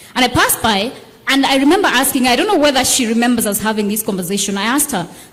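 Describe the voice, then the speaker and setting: Talking at a very fast pace, a woman with a high voice uses lively intonation over noticeable background noise and audible room echo. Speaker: politician. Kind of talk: panel discussion.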